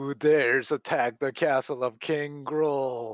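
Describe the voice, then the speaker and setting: A man puts on a loud, booming character voice at medium pitch and a fairly slow pace. His intonation is monotone and flat. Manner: commanding, demanding.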